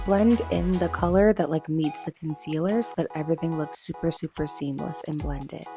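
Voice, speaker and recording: A woman talking with hardly any pauses over music in the background. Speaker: beauty vlogger. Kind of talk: casual makeup tutorial voiceover. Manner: upbeat, enthusiastic.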